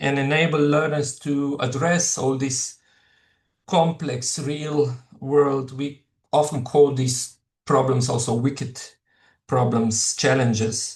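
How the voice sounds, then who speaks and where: A man with a Slovenian accent speaks at a fairly slow pace and medium pitch, somewhat breathy, with fairly even intonation. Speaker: professor. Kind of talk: lecture. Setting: webinar. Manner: halting, many fillers.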